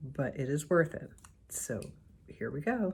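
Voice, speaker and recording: A woman's dark, mellow tone, somewhat breathy, with lively intonation. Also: very clean recording, silent background. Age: 60s. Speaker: beauty vlogger. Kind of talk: casual talk to camera.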